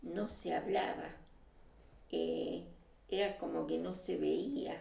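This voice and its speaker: A woman speaks with a Rioplatense accent at a very slow pace. Audible room echo and noticeable background noise surround her. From Uruguay and Argentina. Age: 70s. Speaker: exile, former left-wing activist. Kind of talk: casual conversation. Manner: hesitant, many filler sounds.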